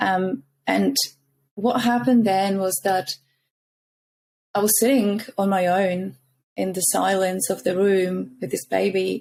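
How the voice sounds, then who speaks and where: With a Czech accent, a woman speaks at a medium pitch and a fairly slow pace. She leaves long, frequent pauses. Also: ordinary pitch variation. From Czech Republic. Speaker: founder of a mothers' support community. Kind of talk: podcast interview.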